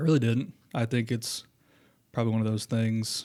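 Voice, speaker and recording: With a Southern Indiana accent, a man speaks at a fairly low pitch. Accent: Southern Indiana twang. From Southern Indiana, US. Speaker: school principal. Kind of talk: interview. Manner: casual, informal.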